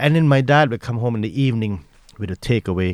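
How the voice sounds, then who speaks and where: In a very clean recording with a silent background and a dry, close sound with no echo, a man with a Malaysian accent speaks at medium pitch in a dark, mellow tone with lively intonation. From Malaysia (Taiping, Perak). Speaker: chef and restaurant owner. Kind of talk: casual interview. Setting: lives in Ireland.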